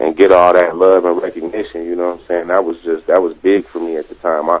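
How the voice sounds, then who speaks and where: Against noticeable background noise, a man with an American accent and a very deep, low pitch speaks at a fairly quick pace in a monotone, flat manner. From Denver, Colorado. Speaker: rapper. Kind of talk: interview.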